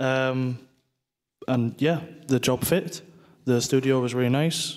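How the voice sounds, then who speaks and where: A man speaks with a northeast English accent. His intonation stays fairly even. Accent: northeast England (Teesside). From northeast England, Middlesbrough. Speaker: game technical artist, conference speaker. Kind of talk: conference talk; casual interview chat.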